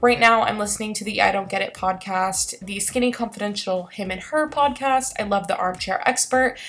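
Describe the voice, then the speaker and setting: Fairly quick and lively in intonation, a woman with a fairly high pitch speaks against noticeable background noise. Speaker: lifestyle vlogger. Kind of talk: vlog narration. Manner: fast.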